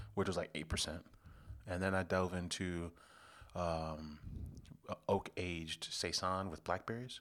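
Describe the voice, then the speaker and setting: Over a very clean recording with a silent background, a man with an American accent and a very deep, low pitch talks at a fairly slow pace, his intonation fairly even and his pauses long and frequent. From Chicago south suburbs. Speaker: beer podcast co-host. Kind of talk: casual chat.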